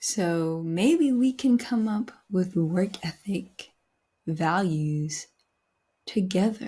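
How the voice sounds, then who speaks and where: The voice is dark, mellow and somewhat breathy, moving at a very slow pace with lively intonation and long, frequent pauses in a very clean recording with a silent background. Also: woman, medium pitch for a woman. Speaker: podcast host, aspiring voice actor. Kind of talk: reflective solo monologue. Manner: casual, conversational.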